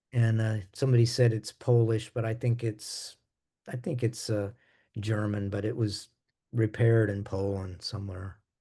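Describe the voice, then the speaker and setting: At a moderate pace, a dark, mellow, somewhat breathy voice speaks in a flat monotone against a quiet background. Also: man, medium pitch for a man. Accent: American. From US Midwest. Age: 70s. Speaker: jazz bassist. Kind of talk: interview.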